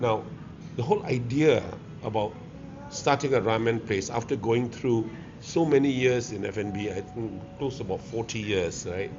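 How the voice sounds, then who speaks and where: The speaker has a Malaysian accent, a moderate pace, and ordinary pitch variation, with long, frequent pauses. Noticeable background noise is present. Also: man, medium pitch for a man. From Malaysia, Kuala Lumpur (Pudu). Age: 70s. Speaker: restaurateur. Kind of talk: interview. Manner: halting.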